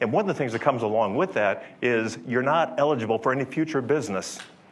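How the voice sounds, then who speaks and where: Speaking at a fairly quick pace, a man uses a medium pitch with ordinary pitch variation. Audible room echo and noticeable background noise fill the recording. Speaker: software company executive. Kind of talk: conference talk. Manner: loud; conversational, unscripted. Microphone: speaking without microphone.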